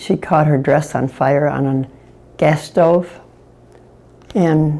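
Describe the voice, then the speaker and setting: Very slow speech from a woman with a very deep, low pitch, a dark, mellow tone, vocal fry and fairly even intonation, in a Midwestern American accent. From Detroit, Michigan. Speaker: great-grandmother. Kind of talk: interview answer.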